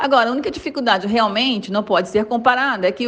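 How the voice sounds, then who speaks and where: Her voice sits high for a woman, and she moves along at a fairly quick clip. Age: 50s. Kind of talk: recorded voice message. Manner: casual.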